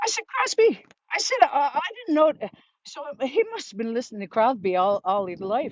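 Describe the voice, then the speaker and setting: A woman in a Newfoundland accent, with very wide pitch swings at a moderate pace. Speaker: vlogger. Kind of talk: casual storytelling monologue.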